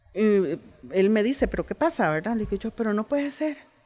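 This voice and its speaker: In an unremarkable speaking voice, a woman talks at a moderate pace with lively intonation. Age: 50s. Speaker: oral storyteller and writer. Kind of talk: interview. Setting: book fair.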